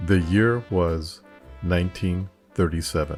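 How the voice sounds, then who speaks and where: Over music in the background, a soft-spoken man talks at a very deep, low pitch with ordinary pitch variation. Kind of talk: soft-spoken ASMR documentary narration.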